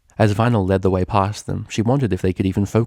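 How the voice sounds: Someone reads the text in a natural reading voice.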